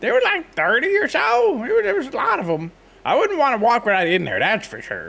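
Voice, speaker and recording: This is a put-on character voice with a fairly high pitch. It moves at a fairly quick pace. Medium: actual play. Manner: casual.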